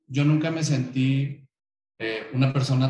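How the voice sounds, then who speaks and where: A man talks with fairly even intonation, his voice somewhat breathy and fairly high in pitch. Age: 30s. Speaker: LGBT association activist. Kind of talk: interview.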